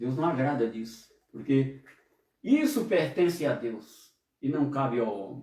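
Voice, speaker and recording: A man with a medium-pitched, somewhat breathy voice and a dark, mellow tone speaks at a fairly slow pace with lively intonation and long, frequent pauses. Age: 60s. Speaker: pastor. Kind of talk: sermon. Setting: online service broadcast.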